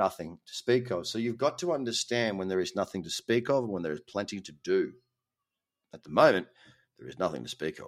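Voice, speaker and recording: With an Australian accent and vocal fry, the speaker talks at a fairly quick pace with lively intonation and big swings in loudness, in a very clean recording with a silent background and a dry, close sound with no echo. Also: man, medium pitch for a man. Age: 30s. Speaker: crypto trading podcast host. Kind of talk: casual monologue. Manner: animated.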